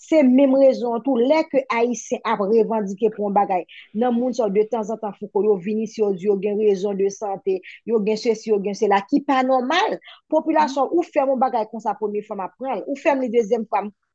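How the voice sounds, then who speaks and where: Fairly high-pitched and fairly quick, a woman talks in an unremarkable speaking voice with ordinary pitch variation. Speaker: petition campaigner. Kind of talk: political discussion.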